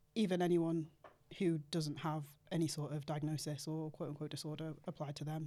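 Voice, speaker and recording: A woman with a British accent speaks at a fairly quick pace in a very deep, low pitch. Her tone is dark and mellow, and her intonation stays monotone and flat. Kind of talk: casual podcast interview.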